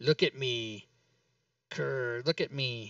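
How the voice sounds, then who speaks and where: A man growls in a put-on character voice at medium pitch. The sound is dry and close with no echo. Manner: menacing, commanding.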